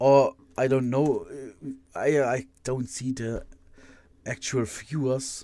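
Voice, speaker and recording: A man's dark, mellow tone with a German accent, at a medium pitch and very slow pace, monotone and flat, with long, frequent pauses. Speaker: live streamer building Lego models. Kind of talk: casual live stream chat. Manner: halting, many repetitions.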